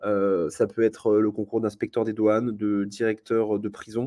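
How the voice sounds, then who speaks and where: His pitch is fairly low. The man speaks at a moderate pace. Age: 20s. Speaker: law master's student presenting his program. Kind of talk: live presentation to students. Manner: halting, many fillers and repetitions. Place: home room. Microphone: webcam.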